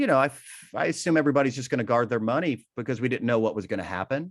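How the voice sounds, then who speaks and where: Recorded very cleanly against a silent background, a man has an ordinary speaking voice. His pitch is medium, with ordinary variation. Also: dry, close sound with no echo. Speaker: charity auctioneer. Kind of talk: podcast interview answer.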